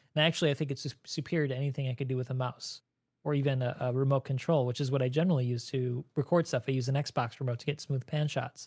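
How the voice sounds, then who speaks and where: Speaking very fast in an American accent, a man with a medium pitch and fairly even intonation sounds somewhat breathy on a very clean recording with a silent background and a dry, close sound with no echo. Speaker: Star Citizen YouTuber. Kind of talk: casual chat.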